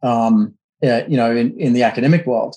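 In an Australian accent, a man of medium pitch speaks at a fairly quick pace. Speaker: counterinsurgency expert. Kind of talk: interview.

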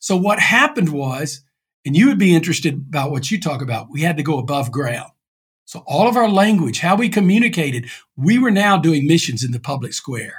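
At a fairly quick pace, a man with an East Texas accent speaks in a fairly high voice with very wide pitch swings. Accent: East Texas Southern US. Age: 60s. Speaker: pastor. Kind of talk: interview.

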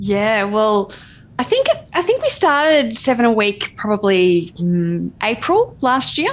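A woman with an Australian accent at fairly high pitch, lively intonation, a fairly slow pace and very even loudness. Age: young. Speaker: podcast co-host. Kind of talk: casual interview chat.

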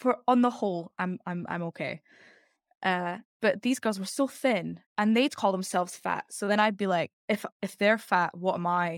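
A woman speaks in an Edinburgh accent at a medium pitch and a moderate pace, with ordinary pitch variation. The recording is very clean, dry and close with no echo, against a silent background. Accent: Scottish (Edinburgh). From Scotland, Edinburgh. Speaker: actress and singer. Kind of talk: casual chat.

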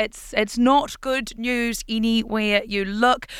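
A woman in a New Zealand accent speaks at a fairly high pitch with monotone, flat intonation on a very clean recording with a silent background. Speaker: podcast news host. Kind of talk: news podcast presenting, conversational.

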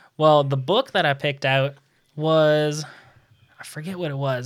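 A normal speaking voice moves at a moderate pace. The recording is very clean, with a silent background. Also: man. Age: 20s. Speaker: finance podcast host. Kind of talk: casual interview.

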